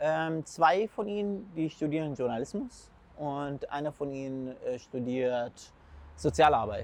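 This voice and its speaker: Speaking with an Arabic accent, a man uses lively intonation at a very slow pace, with long, frequent pauses. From Syria. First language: Arabic (speaking German). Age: 20s. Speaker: food blogger and school student. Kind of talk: casual interview. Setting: outdoors in city. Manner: halting.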